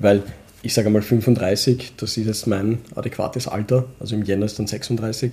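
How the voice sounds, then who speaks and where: A man with a fairly low pitch speaks at a moderate pace. His voice is somewhat breathy, with monotone, flat intonation. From Vienna, Austria (Donaustadt), Pakistani roots. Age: 30s. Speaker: office worker and hobby metal musician. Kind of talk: casual chat. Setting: at home at the dining table.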